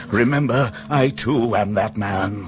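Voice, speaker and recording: Amid clear background noise, a man puts on a character voice, fairly low in pitch and delivered at a fairly slow pace. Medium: audio drama. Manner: anguished.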